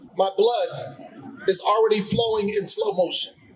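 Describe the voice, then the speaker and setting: The voice belongs to a man. There is noticeable background noise throughout. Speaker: slam poet. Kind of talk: poetry slam performance.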